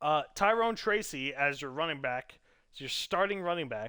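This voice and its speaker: A man's bright, sharp voice with very wide pitch swings at a moderate pace, on a very clean recording against a silent background. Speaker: gaming league commentator. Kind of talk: live stream commentary. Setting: live stream. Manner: casual, halting with frequent fillers.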